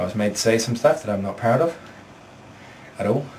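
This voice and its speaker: The speech runs at a very fast pace. Noticeable background noise and audible room echo fill the recording. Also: man. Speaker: vlogger. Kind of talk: casual vlog. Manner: animated.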